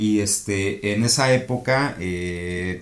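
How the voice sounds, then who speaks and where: A man with a fairly low pitch is heard with audible room echo. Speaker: podcast co-host. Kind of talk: casual chat.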